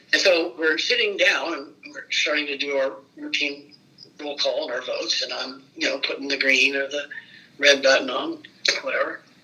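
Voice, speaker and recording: A man speaks at a moderate pace with an American accent. Noticeable background noise is present. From Fort Wayne, Indiana. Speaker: former state legislator. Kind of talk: oral history interview.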